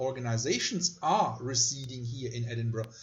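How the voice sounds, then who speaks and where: In a room with audible echo, a man with a German accent speaks at a moderate pace in a somewhat breathy voice. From Germany. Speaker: university lecturer. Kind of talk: lecture.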